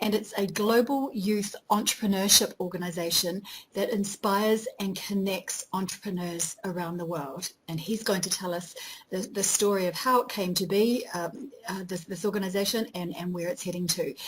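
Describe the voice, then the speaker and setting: Over noticeable background noise, a woman talks at a moderate pace with medium pitch and ordinary pitch variation. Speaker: interviewer, business coach. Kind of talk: interview host talk.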